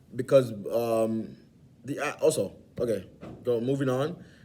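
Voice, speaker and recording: A man speaks at medium pitch with a dark, mellow tone and fairly even intonation. Room echo is audible. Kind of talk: informal lecture. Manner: halting, many fillers and restarts.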